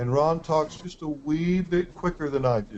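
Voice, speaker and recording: The speaker is a man with an American accent. His pitch moves in an ordinary way. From West Texas. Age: 50s. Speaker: real estate investing coach. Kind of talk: online coaching webinar.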